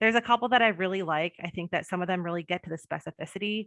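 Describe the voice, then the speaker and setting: With fairly even intonation, the woman talks in a fairly low pitch. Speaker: public health coordinator. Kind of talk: webinar presentation. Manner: fast.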